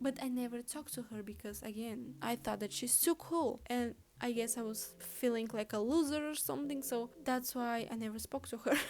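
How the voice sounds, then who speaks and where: Fairly high-pitched woman with a non-native accent, lively intonation and hardly any pauses. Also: moderate pace. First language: not English. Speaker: vlogger. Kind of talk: casual storytelling vlog. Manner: chatty, halting at times.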